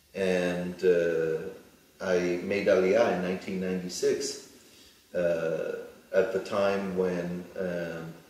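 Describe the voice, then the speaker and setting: Someone with a New York accent speaks at a very slow pace in a monotone, flat intonation. Audible room echo and noticeable background noise are present. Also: man, very deep, low pitch for a man. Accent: American, New York. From US, New York. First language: Hebrew. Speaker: plastic surgeon. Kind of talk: interview. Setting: studio. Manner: halting.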